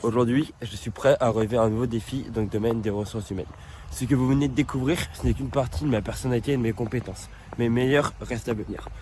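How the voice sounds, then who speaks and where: Speaking very fast, a man keeps a medium pitch and ordinary pitch variation. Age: 20s. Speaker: job applicant. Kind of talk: scripted self-presentation video CV. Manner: upbeat, energetic.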